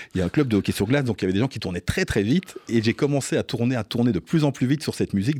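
The man's tone is dark and mellow at a medium pitch, with very wide pitch swings. The sound is dry and close with no echo, on a very clean recording with a silent background. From Belgium, Liège region. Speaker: DJ. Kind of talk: interview. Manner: hesitant, many repetitions.

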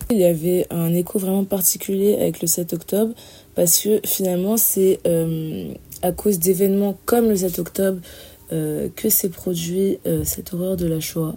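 At a fairly slow pace, a woman speaks in a medium-pitched, dark, mellow, somewhat breathy voice on a very clean recording with a silent background. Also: fairly even intonation. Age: 20s. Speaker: student. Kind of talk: testimony.

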